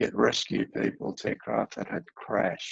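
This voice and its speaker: A man with an Australian accent at a moderate pace, the sound dry and close with no echo. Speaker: aviation historian. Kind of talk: history presentation. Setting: video call.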